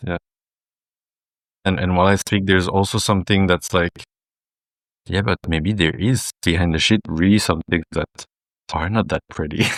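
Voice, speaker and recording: A man's very deep, low voice with a French accent, fairly even intonation, a moderate pace and long, frequent pauses, in a dry, close sound with no echo on a very clean recording with a silent background. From southern France. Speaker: men's group facilitator. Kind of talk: casual chat.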